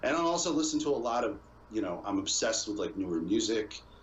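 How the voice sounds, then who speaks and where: This clip features a man talking. His words carry audible room echo. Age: 30s. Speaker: video game streamer. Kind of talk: casual podcast interview chat.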